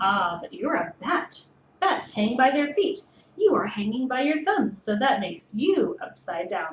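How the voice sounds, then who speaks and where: This is a put-on character voice with very wide pitch swings. The pace is moderate. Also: woman, high pitch for a woman. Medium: read story.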